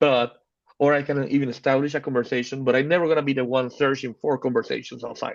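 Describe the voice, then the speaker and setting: Speaking at a very fast pace, a man with a Spanish accent uses a fairly high voice and fairly even intonation. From Panama. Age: 30s. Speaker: photographer. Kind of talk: casual chat. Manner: halting.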